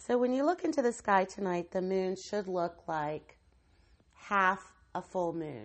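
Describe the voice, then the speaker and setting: A woman talks in an ordinary speaking voice with an American accent, her pitch medium. Her pace is fairly slow and her intonation lively. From West Virginia. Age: 40s. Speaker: podcast host, tarot reader. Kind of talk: solo podcast monologue.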